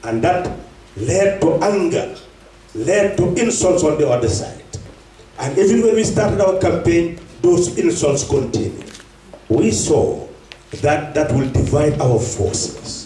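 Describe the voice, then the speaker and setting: Speaking at a fairly slow pace with long, frequent pauses, a man is heard over light background noise and audible room echo. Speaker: politician addressing diaspora. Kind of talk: political speech. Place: hall.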